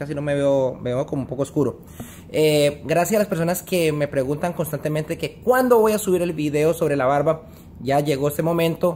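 Light background noise sits under a man with an ordinary speaking voice, a fairly high pitch and ordinary pitch variation. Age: 30s. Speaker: vlogger. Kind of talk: casual vlog monologue. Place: home room. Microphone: phone near.

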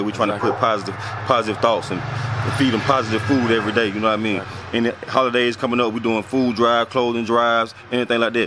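A man speaks at a very fast pace and medium pitch. The sound is dry with no echo, though there is noticeable background noise. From Griffin, Georgia, US South. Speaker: community organizer. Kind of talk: casual vlog address to camera. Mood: earnest, advocating for hometown. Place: street. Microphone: phone near.

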